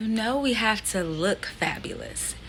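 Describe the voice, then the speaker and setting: A woman speaks in an animated tone. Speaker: vlogger and performer. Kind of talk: casual vlog.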